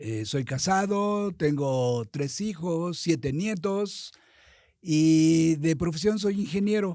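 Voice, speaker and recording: At a very slow pace, the voice has a dark, mellow tone and lively intonation. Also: man, high pitch for a man. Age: 70s. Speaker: politician. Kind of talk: interview.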